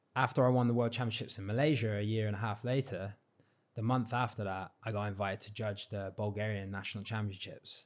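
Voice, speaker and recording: The speech comes at a very fast pace with fairly even intonation. The recording is very clean, with a silent background. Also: man, fairly low pitch for a man. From Cornwall, England. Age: 30s. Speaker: freestyle football world champion. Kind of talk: casual chat. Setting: studio.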